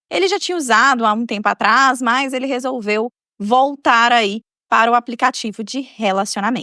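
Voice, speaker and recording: A woman talks at a moderate pace with a high pitch and lively intonation. Her tone is warm yet bright and sharp, and the sound is dry and close with no echo. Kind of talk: storytelling podcast narration. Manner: casual, warm, chatty.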